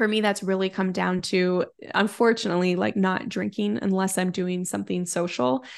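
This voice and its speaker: In a quiet background, a woman with a normal speaking voice talks at medium pitch and a moderate pace. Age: 30s. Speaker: time management coach, former attorney. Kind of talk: podcast interview.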